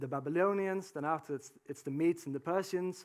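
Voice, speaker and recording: A man with a non-native accent talks at a fairly quick pace in a high voice, his pitch moving in an ordinary way, on a very clean recording with a silent background. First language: not English. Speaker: preacher. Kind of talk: sermon. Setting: church with congregation. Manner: halting, many fillers.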